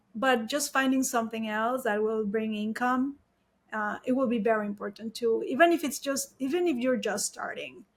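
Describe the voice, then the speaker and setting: The speaker has a Mexican accent and ordinary pitch variation. The pace is moderate. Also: woman, fairly high pitch for a woman. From Mexico. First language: Spanish. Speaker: wedding photographer. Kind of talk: interview.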